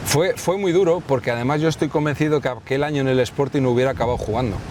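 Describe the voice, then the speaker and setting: With noticeable background noise, a man speaks at a very fast pace in a fairly high pitch, his loudness very even and his pitch variation ordinary. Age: 60s. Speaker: retired football goalkeeper. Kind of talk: interview. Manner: halting.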